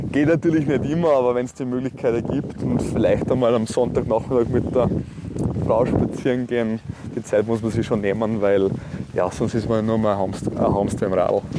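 Against noticeable background noise, a man speaks at a moderate pace with a medium pitch and ordinary pitch variation. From Austria, Salzburg (Neumarkt am Wallersee). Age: 30s. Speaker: politician. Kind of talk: interview. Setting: outdoors, walk by a lake.

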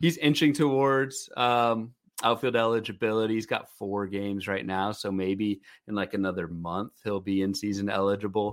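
A normal speaking voice from a man, fairly low in pitch, with ordinary pitch variation and a moderate pace. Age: 30s. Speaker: fantasy baseball podcast co-host. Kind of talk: casual chat.

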